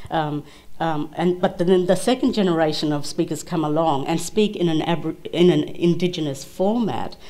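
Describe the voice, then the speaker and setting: With noticeable background noise around her, a woman speaks at a moderate pace in a fairly low pitch with ordinary pitch variation. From Kimberley, Western Australia. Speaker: barrister, panelist. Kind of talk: panel Q&A answer.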